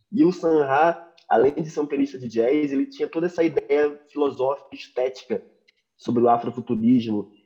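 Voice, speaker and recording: A man's fairly high-pitched voice, dark and mellow in tone, at a moderate pace with ordinary pitch variation. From Rio de Janeiro (Madureira), Brazil. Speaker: jazz pianist. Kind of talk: casual interview.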